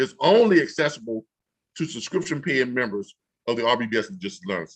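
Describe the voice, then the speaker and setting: Vocal fry runs through this man's voice. He talks at a fairly quick pace with very wide pitch swings. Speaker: online business trainer. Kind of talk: tutorial. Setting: livestream on YouTube.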